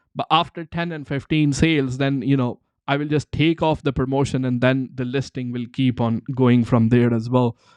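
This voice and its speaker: A man with a Punjabi accent speaks at a medium pitch and a moderate pace with fairly even intonation. The sound is dry and close with no echo, over a quiet background. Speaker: online seller and livestream host. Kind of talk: live Q&A stream. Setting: live stream. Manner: halting, repetitive fillers.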